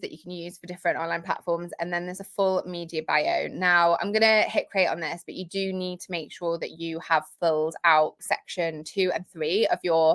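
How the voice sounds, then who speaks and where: A woman with a British accent speaks in a bright, sharp tone in a very clean recording with a silent background. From Britain. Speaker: marketing coach and software founder. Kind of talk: livestream tutorial. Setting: home office livestream. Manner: informal, many fillers.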